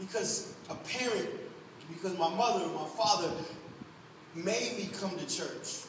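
Speaking at a high pitch with long, frequent pauses, a man is heard amid audible room echo and light background noise. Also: ordinary pitch variation. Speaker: pastor. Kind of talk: Sunday church sermon, conversational and exhorting, with congregational call-and-response. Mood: warm, encouraging, emotive. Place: church. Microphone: camera far.

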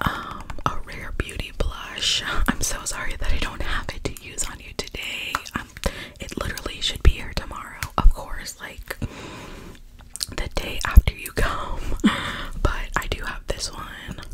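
At a fairly slow pace, a woman speaks in a whisper. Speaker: makeup roleplay host. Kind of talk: casual roleplay chat to viewer. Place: home room. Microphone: earbuds.

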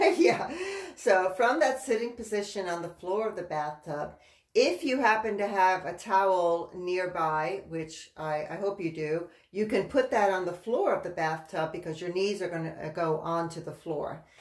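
A woman speaks at a moderate pace with ordinary pitch variation. The background is quiet, though audible room echo is present. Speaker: presenter. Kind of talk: tutorial. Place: bathroom. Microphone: camera far.

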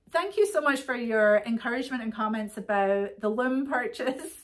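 Against a quiet background, a woman with a high voice speaks at a moderate pace. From Britain. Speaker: yarn shop owner and podcast host; podcast host. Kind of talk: casual chat. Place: shop. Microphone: phone near.

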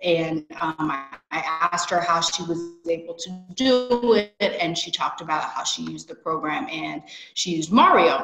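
Clear background music under a woman speaking at a moderate speed. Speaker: interviewee. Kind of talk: interview answer. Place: home room. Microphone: video call.

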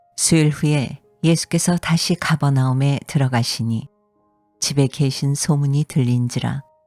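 Music plays behind a woman speaking fairly slowly in a very deep, low pitch. Her intonation is fairly even, and the sound is dry and close with no echo. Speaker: voice actor. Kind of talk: scripture reading.

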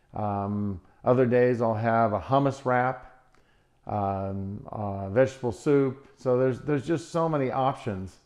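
Here a man talks at a fairly slow pace with ordinary pitch variation. The background is quiet. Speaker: plant-based diet vlogger. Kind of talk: casual vlog chat. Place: kitchen.

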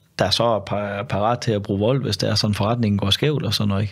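A man talks at a very fast pace in a fairly low pitch. The background is quiet. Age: 50s. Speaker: former undercover police officer; podcast guest. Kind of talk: casual interview conversation. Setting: studio. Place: studio. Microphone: studio mic.

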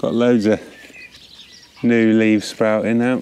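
A man's fairly low, slow voice, clear and smooth with a slightly mellow tone and little pitch movement

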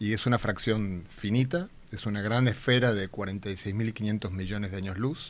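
His pitch varies in an ordinary way. This man's voice sits fairly low. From Argentina. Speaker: theoretical physicist; guest. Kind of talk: popular science explanation. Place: studio. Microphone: studio mic.

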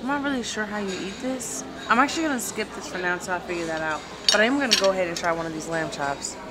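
Loud background noise runs behind a woman talking at a very fast pace. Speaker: vlogger. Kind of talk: casual vlog chat. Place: cafe. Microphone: phone near.

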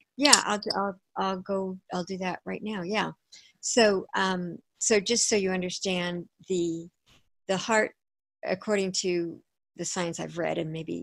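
Her fairly low voice keeps a fairly even intonation, the woman heard dry with no echo against a quiet background. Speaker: author and pleasure coach. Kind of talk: interview conversation. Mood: warm, upbeat. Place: home room. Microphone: video call.

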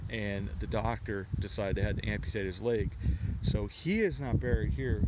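Over loud background noise, a man speaks at a fairly quick pace in a dry sound with no echo. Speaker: local history vlogger. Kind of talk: casual storytelling commentary. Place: open country. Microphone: phone near.

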